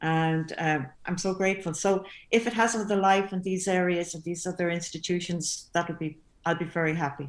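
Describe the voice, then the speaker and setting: A woman with a Limerick accent, fairly low-pitched and fairly quick, with fairly even intonation in a very clean recording against a silent background. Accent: Irish, Limerick. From Limerick, Ireland. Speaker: composer. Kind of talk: panel discussion. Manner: halting.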